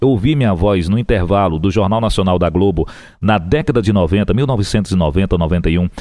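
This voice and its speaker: An ordinary speaking voice with lively intonation at a fairly quick pace, in a very clean recording with a silent background. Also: man. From Piauí, Brazil. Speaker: radio broadcaster and TV booth announcer. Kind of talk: interview answer, casual conversation telling career story.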